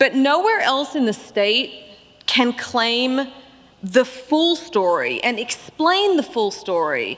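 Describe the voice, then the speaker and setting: A woman with an Australian accent, very slow pace and very wide pitch swings, over noticeable background noise. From Australia (Melbourne). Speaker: keynote speaker, barbecue writer. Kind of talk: keynote speech.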